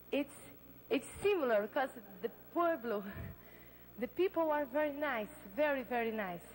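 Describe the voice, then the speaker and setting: A woman speaks at a moderate pace in a Brazilian Portuguese accent, her high voice swinging very widely in pitch. She takes long, frequent pauses. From Brazil, Belém. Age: 20s. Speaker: beauty pageant contestant. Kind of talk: live pageant interview. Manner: halting.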